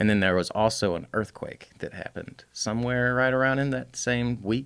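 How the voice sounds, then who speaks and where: Moderate pace and fairly even intonation in a Southern US accent. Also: man, medium pitch for a man. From US South (Alabama). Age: 30s. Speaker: custom bike builder. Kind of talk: casual chat.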